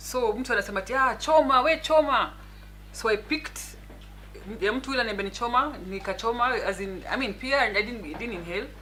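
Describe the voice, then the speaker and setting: A woman's fairly high voice at a very fast pace, ordinary pitch variation, noticeable background noise. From Kenya, Nairobi. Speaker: lawyer and politician. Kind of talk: interview. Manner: soft-spoken.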